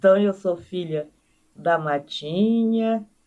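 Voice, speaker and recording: Her intonation moves in a lively way. The woman speaks very slowly. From Maranhão, northeastern Brazil (Codó). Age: 80s+. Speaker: anthropologist. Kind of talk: interview.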